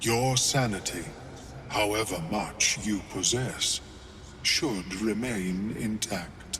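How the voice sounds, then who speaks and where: A man uses a put-on character voice at a fairly low pitch. He goes at a fairly slow pace over clear background noise. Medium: video game. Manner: formal, precise, unhurried.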